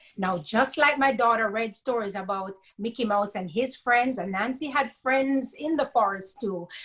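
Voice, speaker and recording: Fairly slow, lively speech from a woman with a Jamaican accent and fairly high pitch, on a very clean recording with a silent background. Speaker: storyteller. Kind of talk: reading aloud.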